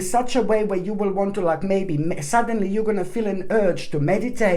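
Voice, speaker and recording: Over noticeable background noise and audible room echo, a woman speaks at a fairly quick pace. Her pitch is medium, with ordinary variation. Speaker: tarot reader. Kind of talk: tarot reading monologue. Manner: fast; jumps between topics, many fillers.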